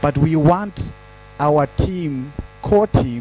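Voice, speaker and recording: A voice with a Zimbabwean accent over noticeable background noise. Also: man. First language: Shona. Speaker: digital security trainer. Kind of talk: panel discussion. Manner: halting.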